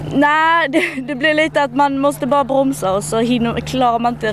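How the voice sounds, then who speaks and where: Through noticeable background noise, a high-pitched woman talks at a fairly quick pace. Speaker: equestrian competitor. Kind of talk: interview. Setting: outdoors at an event.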